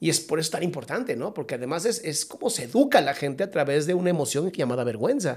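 Over a quiet background, a man talks at a very fast pace with hardly any pauses. His fairly high-pitched voice makes very wide pitch swings. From Mexico. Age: 40s. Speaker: psychologist; podcast guest. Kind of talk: casual chat. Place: studio. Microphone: studio mic.

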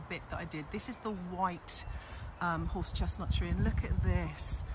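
The pace is fairly slow. The sound is dry with no echo, and the background noise is loud. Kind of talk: casual vlog chat. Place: street. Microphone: phone near.

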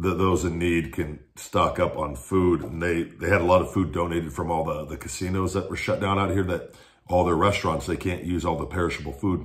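This man's voice is very deep and somewhat breathy, with fairly even intonation. He talks at a fairly quick clip with hardly any pauses. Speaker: food reviewer. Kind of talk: casual vlog chat. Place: kitchen. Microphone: phone near.

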